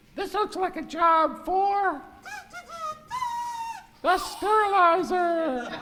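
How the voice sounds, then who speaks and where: A squeaky, put-on character voice is pitched extremely high. It moves at a very slow pace. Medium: stage play. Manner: excited.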